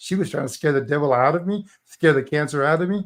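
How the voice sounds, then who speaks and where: Against a quiet background, a man speaks with a fairly high pitch and ordinary pitch variation. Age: 60s. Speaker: motivational speaker. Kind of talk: interview testimony. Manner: animated.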